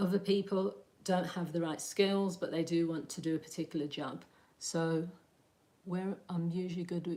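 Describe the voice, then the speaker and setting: Her tone dark and mellow, a woman speaks at a fairly low pitch and a moderate pace with fairly even intonation. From West Midlands, Birmingham. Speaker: counsellor and aspiring career coach. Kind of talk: live stream talk with chat. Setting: live stream. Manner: hesitant, many fillers.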